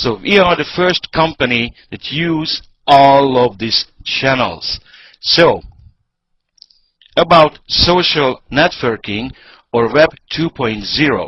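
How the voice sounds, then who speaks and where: A man with a fairly high voice speaks at a very slow pace with ordinary pitch variation. He leaves long, frequent pauses. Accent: non-native. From Hungary. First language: Hungarian. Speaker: network marketing presenter. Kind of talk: sales pitch. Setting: online webinar.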